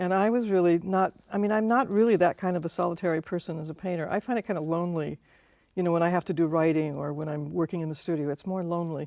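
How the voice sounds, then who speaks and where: Very fast and fairly low-pitched, a woman speaks in a dark, mellow tone, with a dry, close sound and no echo. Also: ordinary pitch variation. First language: not English. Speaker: muralist and painter. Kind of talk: interview.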